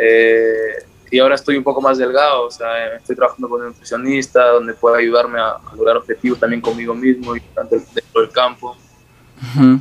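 This man speaks fairly quickly at a medium pitch, his intonation flat and monotone. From northern Peru highlands (Cajamarca / La Libertad). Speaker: footballer. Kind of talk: interview.

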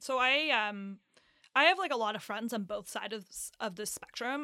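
A woman at a moderate pace and fairly high pitch on a very clean recording with a silent background. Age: 20s. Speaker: podcast host. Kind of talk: casual chat. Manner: joking, self-deprecating.

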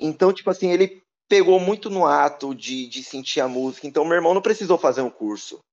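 A man speaks at a fairly quick pace, with a dry, close sound and no echo. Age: 30s. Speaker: DJ. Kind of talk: casual interview.

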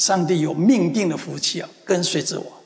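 With an animated, gentle tone, a man with a high voice speaks at a moderate pace, his pitch varying in an ordinary way. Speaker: pastor. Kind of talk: sermon. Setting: church; church with congregation in the US. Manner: earnest, repetitive, affirming declarations.

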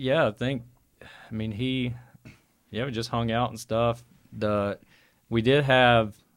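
The recording is very clean, with a silent background. A man speaks in a monotone, with flat intonation and an Alabama accent. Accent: Southern US (Alabama). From Birmingham, Alabama. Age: 40s. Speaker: metal band member.

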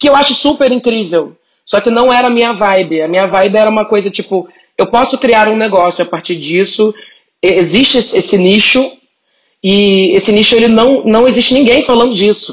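This is an ordinary speaking voice. A woman speaks at a fairly high pitch, with ordinary pitch variation. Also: moderate pace. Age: 30s. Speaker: content creator and writer. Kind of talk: casual chat.

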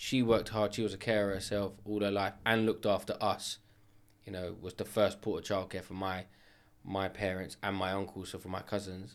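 This man talks at a fairly quick pace with a London accent. His intonation is flat and monotone, on a very clean recording with a silent background. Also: fairly low pitch for a man. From north London (Edmonton). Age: 30s. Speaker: kitchen company owner. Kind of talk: casual chat.

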